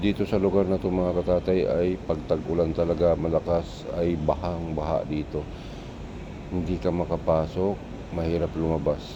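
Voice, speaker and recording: A man's very deep, low voice in a flat monotone at a moderate pace, with noticeable background noise. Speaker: driving vlogger. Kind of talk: casual vlog narration while driving. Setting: in a car with passengers. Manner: soft-spoken.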